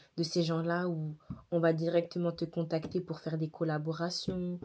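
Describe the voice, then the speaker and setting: On a very clean recording with a silent background, a woman with a fairly low pitch and a dark, mellow tone speaks at a moderate pace in a monotone, flat intonation. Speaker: daily vlogger and content creator. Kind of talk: casual talk to camera. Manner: tired.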